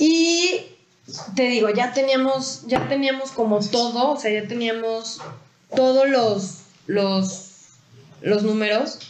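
Delivered at a very slow pace with a Mexican accent, the speech breaks often into long pauses. Loudness stays very even, while noticeable background noise and audible room echo fill the recording. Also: woman, high pitch for a woman, ordinary pitch variation. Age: 20s. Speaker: entrepreneur, company co-founder. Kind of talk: podcast interview.

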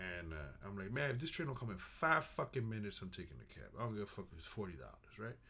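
Speaking with a New York accent, a man swings his pitch very widely. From Bronx, New York. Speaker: restaurant worker. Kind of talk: casual chat.

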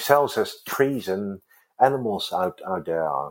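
Lively intonation marks this man speaking with a Dutch accent. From Netherlands. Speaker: organic salon co-founder. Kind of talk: interview. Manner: halting.

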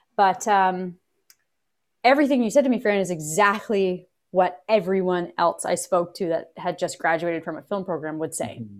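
With a Canadian accent, a woman talks at a moderate pace and medium pitch in an ordinary speaking voice, with ordinary pitch variation. The recording is very clean, with a silent background. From Canada, Kingston, Ontario. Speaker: actor and film producer. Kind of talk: casual interview.

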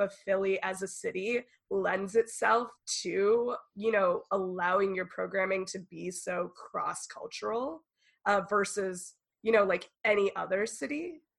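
In an American accent, a woman talks. Her pace is fairly slow. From Northern California. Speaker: podcast host. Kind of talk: casual chat.

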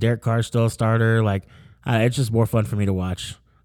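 Over a very clean recording with a silent background, a man with an American accent talks very fast at a medium pitch, with fairly even intonation. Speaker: sports podcast host. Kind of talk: casual chat. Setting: in-person recording. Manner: casual, filler-heavy.

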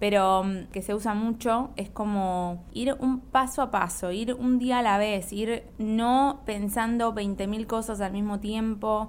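Her pace very slow and her intonation fairly even, a woman with a fairly high pitch speaks with hardly any pauses. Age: 20s. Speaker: podcast host and YouTuber. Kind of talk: casual monologue.

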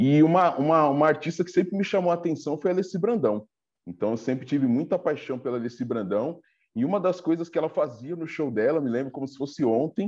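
Against a quiet background, a man with a normal speaking voice talks fairly quickly in a fairly high pitch with lively intonation. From Brazil, Diadema (ABC region of São Paulo). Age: 40s. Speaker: samba web show host and interviewer. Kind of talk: casual interview.

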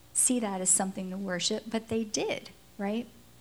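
A woman speaks in a monotone, flat intonation. Her voice is somewhat breathy. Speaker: pastor. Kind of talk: sermon.

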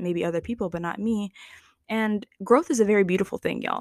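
With a plain, everyday voice, a woman talks fairly quickly at a fairly high pitch with ordinary pitch variation, the sound dry and close with no echo in a very clean recording with a silent background. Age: 20s. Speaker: podcast host. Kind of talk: solo reflective monologue. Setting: recording alone at night. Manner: conversational, with fillers and laughs.

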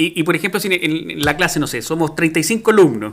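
The man's tone is bright and sharp. His intonation is lively, and his pace is moderate. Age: 40s. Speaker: podcast host. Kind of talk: casual chat.

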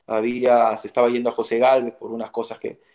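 Speaking with a Peruvian accent, a man talks at a fairly quick pace and a medium pitch. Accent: Peruvian Spanish (Lima). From Peru, Lima (Barranco). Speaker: retired footballer. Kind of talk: interview.

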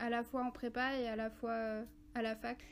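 A woman with a fairly high pitch and monotone, flat intonation. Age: 20s. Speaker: school education counselor. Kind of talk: casual interview. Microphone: crackling and interference at times.

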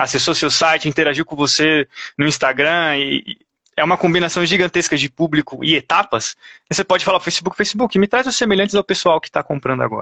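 This is an ordinary speaking voice from a man, pitched fairly high. He talks at a fairly quick pace with ordinary pitch variation. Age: 30s. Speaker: paid traffic specialist. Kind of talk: interview on a live stream.

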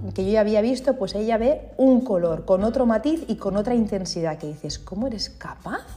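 An unremarkable speaking voice from a woman, fairly high in pitch, with lively intonation, a moderate pace and hardly any pauses. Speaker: feng shui consultant and podcast host. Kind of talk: solo podcast monologue, explanatory. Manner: informal and conversational.

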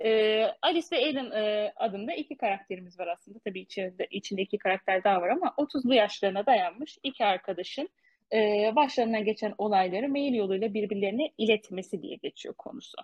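A woman with a fairly high pitch is speaking. Her intonation is lively and her pace fairly quick. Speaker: podcast co-host. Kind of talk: casual book discussion. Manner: fast.

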